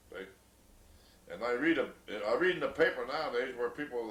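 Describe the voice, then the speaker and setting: The man's voice sits fairly high in pitch. There is audible room echo and noticeable background noise. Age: 80s+. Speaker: elderly grandfather interviewed about memories. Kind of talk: oral history interview. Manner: halting, many fillers and repeats.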